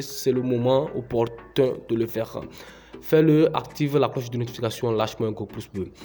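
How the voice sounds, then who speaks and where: Music sounds in the background. The speaker keeps a moderate pace with ordinary pitch variation. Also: man. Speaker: YouTuber, crypto tutorial creator. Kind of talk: tutorial. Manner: hesitant, many filler sounds.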